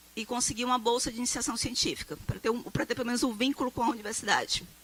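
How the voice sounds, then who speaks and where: A woman with a high voice talks while noticeable background noise carries on. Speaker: professor. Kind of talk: lecture. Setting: stage with audience.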